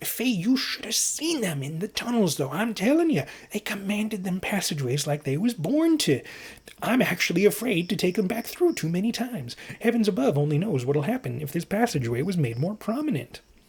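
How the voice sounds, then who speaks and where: In a put-on character voice, a man talks fairly quickly at a high pitch with very wide pitch swings. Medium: read story. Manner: colloquial, dropped g's.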